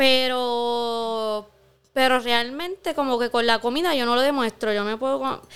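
On a very clean recording with a silent background, a woman with a Puerto Rican accent and a high pitch speaks at a fairly slow pace with fairly even intonation. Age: 30s. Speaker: podcast co-host. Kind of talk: casual chat. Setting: studio.

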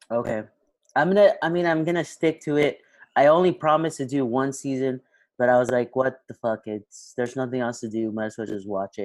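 A plain, everyday voice: a man at medium pitch, fairly quick, with ordinary pitch variation. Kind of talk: casual chat. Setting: video call. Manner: casual, joking.

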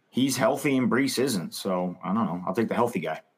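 Lively intonation runs through a man's unremarkable speaking voice at a medium pitch. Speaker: fantasy football podcast co-host. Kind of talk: casual chat, mock draft.

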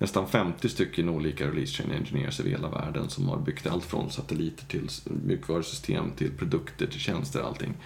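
Speaking at a fairly quick pace with lively intonation, the voice comes over noticeable background noise. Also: man. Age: 40s. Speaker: agile coach and trainer. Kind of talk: casual chat.

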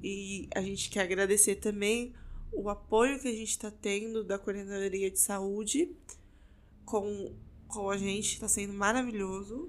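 At a fairly slow pace, a woman with a normal speaking voice talks at a medium pitch with fairly even intonation. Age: 20s. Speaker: podcast co-host, pharmacy student. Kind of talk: casual chat.

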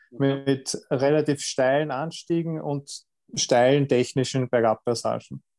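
A man speaks at a fairly slow pace in a fairly high pitch with monotone, flat intonation. His tone is dark and mellow, and the sound is dry and close with no echo. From Lower Austria, south of Vienna. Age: 30s. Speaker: triathlete and dentist. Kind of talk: interview. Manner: halting, many fillers and repetitions.

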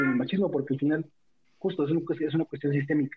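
Here a man talks at a very fast pace. His pitch sits fairly high. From Mexico City, Tlalpan hills. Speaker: guest. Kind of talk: casual chat.

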